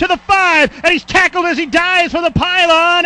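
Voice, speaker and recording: The man's pitch is extremely high. He uses a raised, projected voice. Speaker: sports commentator. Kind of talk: live sports commentary, game highlights.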